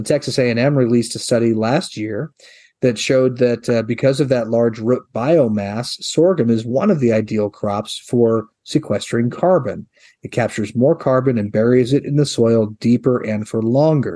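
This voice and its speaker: His voice dark and mellow in tone, a man speaks with an American accent at a medium pitch. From US Midwest, eastern Nebraska. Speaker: head of a crop promotion organization. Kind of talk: interview.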